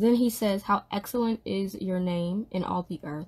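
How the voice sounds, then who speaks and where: A woman's somewhat breathy voice at medium pitch, with fairly even intonation. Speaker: livestreamer leading a Bible study. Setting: indoors at a desk, live stream.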